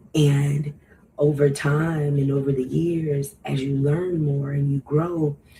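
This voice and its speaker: Over noticeable background noise, a woman speaks very slowly in a very deep, low voice with monotone, flat intonation. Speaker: podcast host. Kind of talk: casual monologue.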